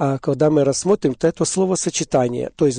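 A man's fairly high voice with a dark, mellow tone and ordinary pitch variation, dry and close with no echo, over a quiet background. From Ukraine, Poltava region. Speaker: Baptist church minister. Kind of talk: religious radio interview. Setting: studio.

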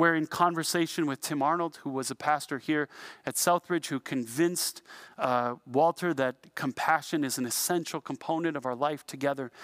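In a Canadian accent, a man with an ordinary speaking voice talks at a moderate pace with a fairly high pitch and fairly even intonation, on a very clean recording with a silent background and a dry, close sound with no echo. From Canada, Niagara region. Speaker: pastor. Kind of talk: sermon.

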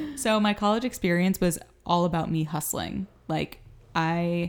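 A woman speaks at a fairly slow pace with fairly low pitch and ordinary pitch variation. The recording is very clean, with a silent background. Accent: American. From Miami, Florida. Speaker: podcast host, social media marketer. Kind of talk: casual chat. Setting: at home, family kitchen. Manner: animated.

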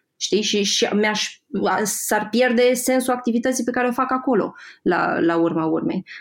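Delivered at a moderate pace, the speech has lively intonation and very even loudness. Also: woman, high pitch for a woman. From Moldova region. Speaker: graphic designer and Instagram creator. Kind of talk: podcast interview.

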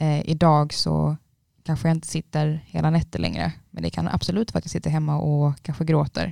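Dry and close with no echo, a woman's voice moves at a fairly quick pace. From Trelleborg, Skåne. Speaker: university student. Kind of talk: casual chat.

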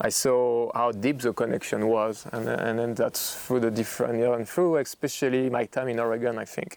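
With a French accent, a man of medium pitch speaks at a moderate pace, with fairly even intonation and hardly any pauses. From Burgundy, France. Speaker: winemaker. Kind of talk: oral history interview. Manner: halting, repeats words.

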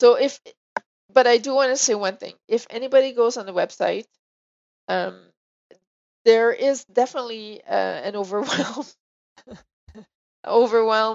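Using a French accent, a woman speaks at a high pitch and moderate pace with fairly even intonation and long, frequent pauses. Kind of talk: casual chat.

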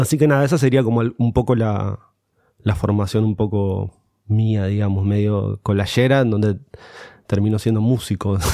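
In an Argentine accent, a man speaks at a moderate pace and a fairly low pitch. His tone is dark and mellow, with fairly even intonation. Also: very even loudness. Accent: Rioplatense Argentine Spanish. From Morón, Buenos Aires province, Argentina. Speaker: musician and DJ. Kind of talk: casual interview chat.

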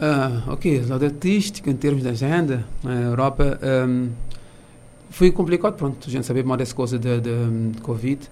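At a moderate pace, a man talks with a medium pitch and a dark, mellow tone. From Cape Verde, São Vicente. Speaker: music teacher and musician. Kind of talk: interview. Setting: studio. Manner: halting.

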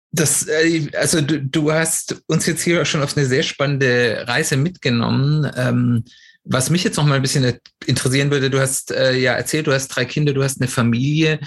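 In a very clean recording with a silent background, a man with a fairly high pitch speaks somewhat breathily at a moderate pace with fairly even intonation. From Swabia, southwestern Germany. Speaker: podcast host. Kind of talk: interview.

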